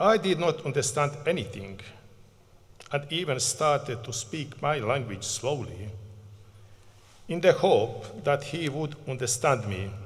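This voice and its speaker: Speaking at a fairly slow pace with long, frequent pauses, a man with a Bosnian accent and a fairly high pitch sounds somewhat breathy, his intonation lively, amid audible room echo. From Bosnia and Herzegovina. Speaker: community project manager, refugee advocate. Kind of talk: acceptance speech. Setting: stage at graduation ceremony.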